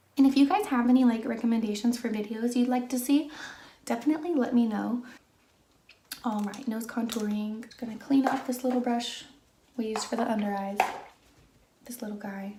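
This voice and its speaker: A soft-spoken woman with a high pitch and ordinary pitch variation talks at a fairly quick pace, with long, frequent pauses and audible room echo. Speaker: beauty vlogger. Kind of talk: chatty makeup tutorial. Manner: soft-spoken, normal conversational volume.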